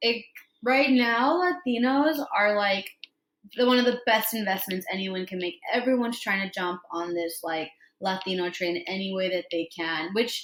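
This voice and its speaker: In a plain, everyday voice, a woman talks at a moderate pace with lively intonation. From Los Angeles, US (Mexican-American). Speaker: IT project manager. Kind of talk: casual chat.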